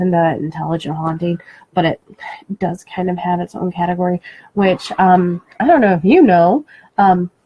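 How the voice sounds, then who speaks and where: A woman speaks at a moderate pace with a medium pitch, a somewhat breathy voice and fairly even intonation. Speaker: paranormal radio show co-host. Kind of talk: casual chat. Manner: soft-spoken. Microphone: moves away from the mic, too quiet.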